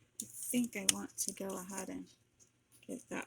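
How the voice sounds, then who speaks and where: A woman speaks softly. Her tone is relaxed. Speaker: crafter and online seller. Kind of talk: craft tutorial. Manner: soft-spoken; relaxed and slow.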